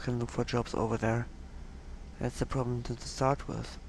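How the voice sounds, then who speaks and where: A woman speaks in a German accent. Her pitch is very deep and low. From Germany. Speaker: gaming youtuber. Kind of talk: gameplay commentary. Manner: casual, hesitant with fillers.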